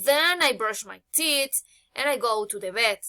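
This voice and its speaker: A woman speaks with a Spanish accent. Her tone is bright and sharp, with lively intonation. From Colombia, Manizales, Caldas. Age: 20s. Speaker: psychology student. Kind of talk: self-introduction for English class. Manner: halting.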